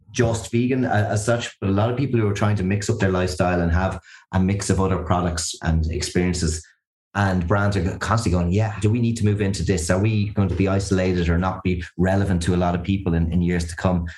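Very fast speech from a man with a very deep, low pitch, somewhat breathy, in an Irish accent, on a very clean recording with a silent background. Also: fairly even intonation. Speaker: consumer research expert. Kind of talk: interview.

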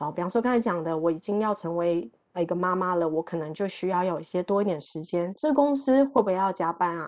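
Over a quiet background, a woman with a dark, mellow tone talks at a fairly quick pace with lively intonation. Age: 40s. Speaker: e-commerce professional. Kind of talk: talk to online audience. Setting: online talk.

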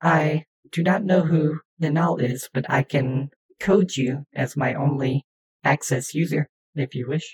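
A put-on character voice, raspy and low-to-middle in pitch, moves along at a fairly slow pace. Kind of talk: computer voice. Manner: flat, literal, obliging.

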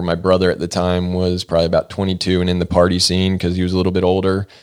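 The speaker is a man with an American accent. His voice is very deep and low. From US South, Georgia (Norcross, near Atlanta). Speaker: actor and producer. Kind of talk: casual interview chat. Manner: talkative, rambling with tangents.

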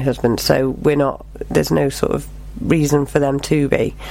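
A woman talks fairly quickly, and noticeable noise runs in the background. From England, Cheshire (Knutsford). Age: 40s. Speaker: performing arts teacher and tribute singer. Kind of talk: casual interview.

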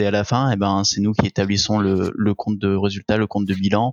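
At a moderate pace, a fairly low-pitched man speaks with monotone, flat intonation. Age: 20s. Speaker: accountant. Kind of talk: casual interview.

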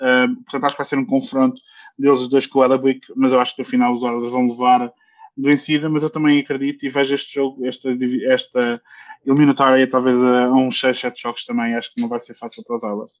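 This man talks at a fairly quick pace in a medium pitch, with monotone, flat intonation. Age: 30s. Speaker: ice hockey commentator. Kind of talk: casual sports chat.

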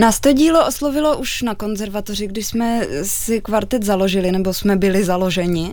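A woman with an unremarkable speaking voice talks at a moderate pace and a fairly high pitch. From Czech Republic, Olomouc. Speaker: cellist in a string quartet. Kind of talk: radio interview.

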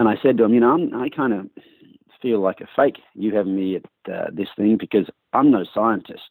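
A man with an Australian accent at a fairly quick pace. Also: medium pitch for a man, ordinary pitch variation. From Australia, rural New South Wales. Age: 50s. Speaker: horse trainer. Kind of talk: interview. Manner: fast.

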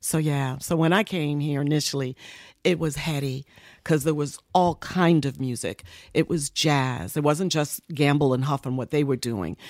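The sound is dry and close, with no echo. The speaker has an American accent. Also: woman, very deep, low pitch for a woman, ordinary pitch variation, moderate pace, very clean recording, silent background. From New York (Bronx, Harlem). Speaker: radio personality and music executive. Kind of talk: interview storytelling. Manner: soothing.

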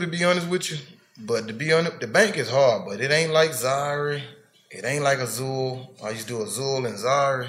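Lively intonation and big swings in loudness mark a man with a Memphis accent and a fairly high pitch, heard with audible room echo. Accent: Southern US, Memphis. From Memphis, Tennessee. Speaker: comedian. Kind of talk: casual chat.

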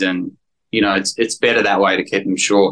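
A man speaks in an Australian accent at a fairly quick pace. His tone is bright and sharp. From Sydney, Australia. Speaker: actor. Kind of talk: casual interview chat.

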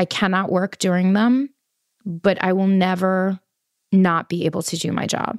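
In a New York accent, a woman of medium pitch talks at a moderate pace with fairly even intonation, the sound dry and close with no echo. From New York City, Queens. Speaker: patient sharing illness story, fashion worker. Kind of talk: personal testimony interview.

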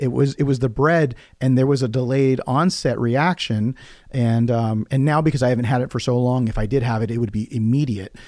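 On a very clean recording with a silent background, a man uses a normal speaking voice of medium pitch, talking at a fairly quick pace with fairly even intonation. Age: 40s. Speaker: podcast host. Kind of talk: casual interview.

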